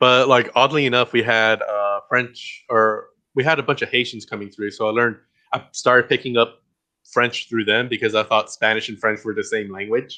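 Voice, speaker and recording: A man's medium-pitched voice with a Mexican accent, monotone and flat in intonation, at a moderate pace. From Guatemala, raised in Texas. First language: Mayan. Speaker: interview guest. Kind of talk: casual interview chat. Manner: hesitant, many fillers.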